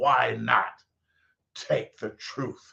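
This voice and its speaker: A man is talking. His pace is very slow. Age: 80s+. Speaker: pastor. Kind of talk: sermon. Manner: animated.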